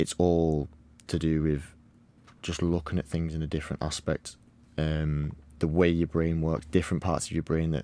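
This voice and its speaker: Very deep, low-pitched man with a Cumbrian accent and monotone, flat intonation, on a very clean recording with a silent background. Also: moderate pace. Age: 20s. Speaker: footballer. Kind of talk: podcast interview.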